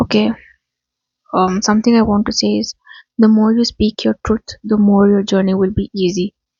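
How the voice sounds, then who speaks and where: A somewhat breathy woman speaks in a monotone, flat intonation, with long, frequent pauses. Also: medium pitch for a woman, moderate pace. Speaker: spiritual reader. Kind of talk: channeled spiritual message. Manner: quiet, low volume; halting, choking on words.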